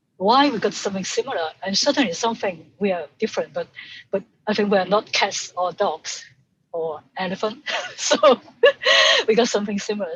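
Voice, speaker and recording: A woman with a Hong Kong accent speaks in a somewhat breathy voice. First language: Cantonese. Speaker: sound artist. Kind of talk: casual chat.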